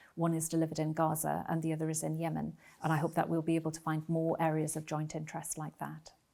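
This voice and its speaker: A woman's very deep, low, dark and mellow voice in a Geordie accent, very fast and monotone, flat. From northern England, Newcastle. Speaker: ambassador. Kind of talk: interview. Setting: embassy residence. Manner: hesitant with filler words.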